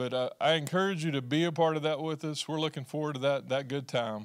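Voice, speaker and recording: The background stays quiet while a man rattles along at a very fast pace. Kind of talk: church announcements. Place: church. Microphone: handheld.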